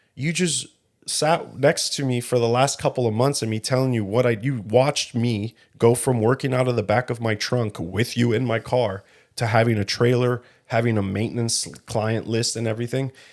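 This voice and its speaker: Recorded very cleanly against a silent background, a man speaks at a moderate pace with a medium pitch and fairly even intonation. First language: Spanish. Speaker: podcast co-host and car detailing business owner. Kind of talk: casual chat.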